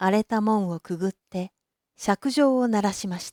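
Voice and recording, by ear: Against a quiet background, the clip is reading aloud in a natural voice, with ordinary pitch variation.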